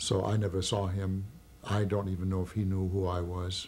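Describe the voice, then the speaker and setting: This man's voice sits very deep and low, somewhat breathy and dark and mellow in tone, with ordinary pitch variation. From Germany. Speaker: Holocaust survivor. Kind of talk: testimony. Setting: recorded interview. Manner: halting.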